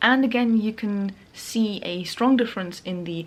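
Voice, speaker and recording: With a non-native accent, a woman talks at a moderate pace. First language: not English. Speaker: sewing YouTuber. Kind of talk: vlog narration. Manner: casual with fillers.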